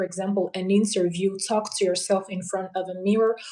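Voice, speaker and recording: A woman's medium-pitched voice with a Portuguese accent. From Angola. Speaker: polyglot, language learning guest. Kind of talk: casual interview chat on a live stream. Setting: live stream.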